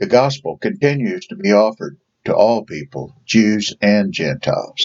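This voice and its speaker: A man talks at a moderate pace in an Ozark accent, his loudness swinging widely. The sound is dry and close, with no echo. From Ozarks, southern United States. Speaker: Sunday school teacher. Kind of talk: Bible study lesson.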